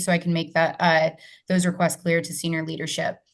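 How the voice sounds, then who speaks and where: A woman's voice, fairly low in pitch. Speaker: mayor's office community liaison. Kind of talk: public meeting update. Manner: fast.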